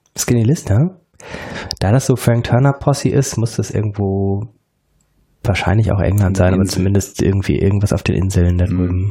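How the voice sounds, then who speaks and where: A man speaks in a somewhat breathy voice. He leaves long, frequent pauses. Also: ordinary pitch variation. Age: 40s. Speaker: educational consultant. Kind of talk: casual chat. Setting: in a kitchen. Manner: hesitant, many filler sounds.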